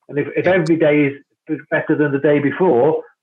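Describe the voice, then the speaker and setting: This man has an ordinary speaking voice, fairly high in pitch, with fairly even intonation at a moderate pace. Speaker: cricket club founder. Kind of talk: casual interview. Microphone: connection dropping out.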